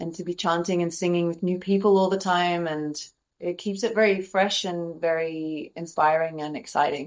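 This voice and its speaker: The speaker has an Australian accent and a fairly even intonation. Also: woman, fairly low pitch for a woman, moderate pace. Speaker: kirtan singer and yoga teacher. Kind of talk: interview.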